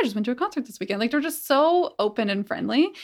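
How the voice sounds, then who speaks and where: Vocal fry colors a woman's speech. The background is silent in a very clean recording. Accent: Canadian. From Calgary, Canada. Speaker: community organizer. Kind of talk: interview.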